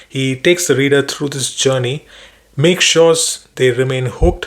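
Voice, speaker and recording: A man speaks with a Keralan accent at a fairly high pitch. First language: Malayalam. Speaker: book reviewer. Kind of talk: book summary talk. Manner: hesitant with fillers.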